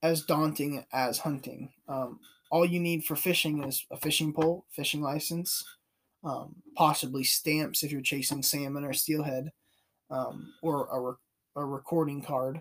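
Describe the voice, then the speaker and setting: An unremarkable speaking voice with an American accent, at a fairly slow pace with ordinary pitch variation, on a very clean recording with a silent background. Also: man. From California. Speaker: outdoor podcast host, hunter. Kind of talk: solo podcast monologue. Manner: casual with frequent fillers.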